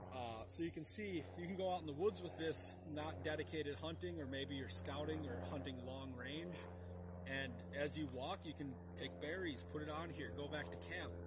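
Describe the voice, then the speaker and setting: A man's voice comes through dry with no echo beneath loud background noise. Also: moderate pace. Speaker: outdoor primitive skills demonstrator. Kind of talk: casual tutorial rant. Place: open country.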